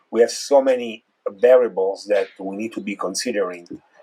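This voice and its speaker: With an Italian accent, a man speaks at a moderate pace. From Italy. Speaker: neurologist. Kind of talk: interview.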